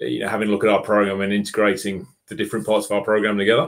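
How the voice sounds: A man talks at a fairly low pitch. His voice has vocal fry.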